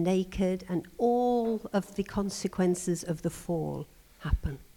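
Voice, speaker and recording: A woman speaks at a very slow pace in a dark, mellow tone with ordinary pitch variation, recorded very cleanly against a silent background. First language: English (speaking Slovak). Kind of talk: teaching talk with guided prayer. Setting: seminar with audience. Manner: short phrases with pauses for the interpreter.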